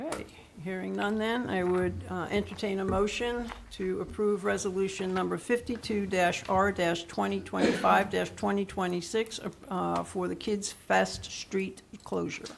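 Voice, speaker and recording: A woman speaks with audible room echo around her. Noticeable background noise is present too. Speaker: mayor chairing council meeting. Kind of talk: council meeting proceedings. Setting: council chambers. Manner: fast.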